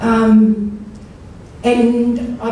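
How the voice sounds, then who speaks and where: A woman speaks with strong room echo and light background noise. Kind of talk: speech. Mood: earnest, heartfelt. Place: hall.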